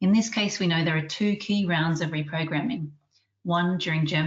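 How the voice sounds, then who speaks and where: A woman with an Australian accent speaks at a very fast pace. Her voice is fairly low and somewhat breathy, with ordinary pitch variation. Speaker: research scientist and webinar chair. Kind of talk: webinar introduction. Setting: online webinar. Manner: formal.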